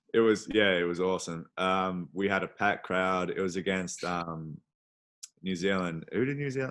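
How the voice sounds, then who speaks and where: A man with an Australian accent speaks in a very deep, low voice. His pace is moderate, and the background is quiet. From Australia, Adelaide. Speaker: professional basketball player. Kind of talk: casual interview.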